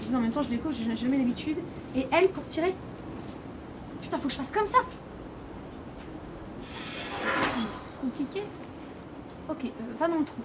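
Over loud background noise, a woman speaks at a moderate pace with long, frequent pauses. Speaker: gamer streamer. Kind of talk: gameplay commentary. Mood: nervous, scared. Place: home room.

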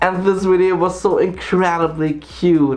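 In an upbeat tone, a man speaks with a German accent. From Germany, Saarland. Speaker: YouTuber. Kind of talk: scripted countdown narration. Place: home room.

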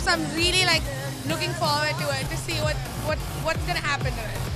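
A woman at a very fast pace, dry sound with no echo, loud music in the background. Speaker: interviewee. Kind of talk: interview answer. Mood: excited, playful fan. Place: hall. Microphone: handheld.

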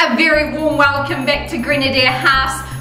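Over clear music and audible room echo, a woman projects her high-pitched voice at a moderate pace. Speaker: real estate auctioneer. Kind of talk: real estate auction results recap to camera. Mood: upbeat, warm. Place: office.

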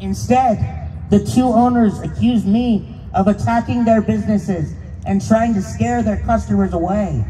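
A man with an American accent speaks at a moderate pace. Light background noise can be heard. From Pennsylvania, US. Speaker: speaker. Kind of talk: rally speech. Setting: stage with audience. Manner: earnest, impassioned. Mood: aggrieved, earnest. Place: street. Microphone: handheld.

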